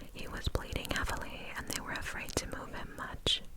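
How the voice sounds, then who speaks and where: The voice is whispering in a gentle tone. Noticeable background noise sits behind it. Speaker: ASMR creator. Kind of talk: ASMR horror story narration. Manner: soft whispers, gentle.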